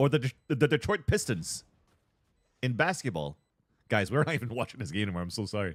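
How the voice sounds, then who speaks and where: A man talks at a very fast pace in an animated tone with vocal fry and very wide pitch swings. Long, frequent pauses break up his speech. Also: medium pitch for a man, very clean recording, silent background. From Quebec. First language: French. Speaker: esports caster and streamer. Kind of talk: casual livestream chat.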